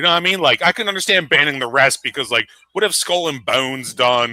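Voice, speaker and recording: A man with a Philadelphia accent at a very fast pace. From South Jersey.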